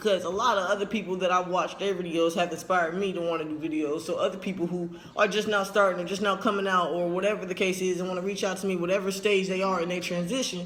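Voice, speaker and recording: With noticeable background noise and audible room echo, a man speaks at a very fast pace with hardly any pauses, in a high pitch and monotone, flat intonation. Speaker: transgender vlogger. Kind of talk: casual vlog update. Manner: casual, rambling.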